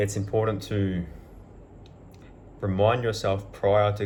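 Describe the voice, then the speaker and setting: Somewhat breathy and fairly low-pitched, a man talks at a fairly slow pace in a monotone, flat intonation, with audible room echo around him. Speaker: self-help vlogger. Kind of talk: motivational monologue.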